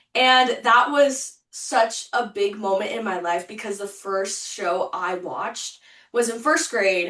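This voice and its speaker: A woman's fairly high, bright, sharp voice at a fairly slow pace. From Southern California. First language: Spanish. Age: young. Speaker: college student. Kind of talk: interview.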